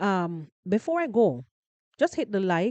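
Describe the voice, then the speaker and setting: A woman speaks at a fairly slow pace in a dark, mellow tone. The sound is dry and close with no echo, over a quiet background. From Jamaica, parish of Westmoreland. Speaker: podcast host, live streamer. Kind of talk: casual live stream chat. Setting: live stream. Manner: repetitive, stammering on words.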